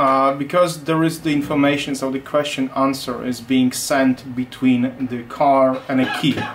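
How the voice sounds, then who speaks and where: Light background noise sits behind a man with a Polish accent. He speaks at a moderate pace with hardly any pauses and a monotone, flat intonation. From Poland. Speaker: automotive security engineer. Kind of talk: technical interview. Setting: company office. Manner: halting, many repetitions. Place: workshop.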